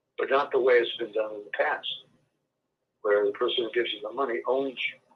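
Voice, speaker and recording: A man is speaking. His pace is very fast. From Czech Republic. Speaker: project founder, former banker. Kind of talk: interview.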